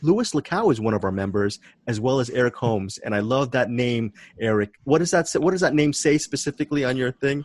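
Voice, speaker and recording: A man has a normal speaking voice at a medium pitch with lively intonation and a fairly quick pace. The sound is dry and close with no echo. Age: middle-aged. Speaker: podcast moderator. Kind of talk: casual chat.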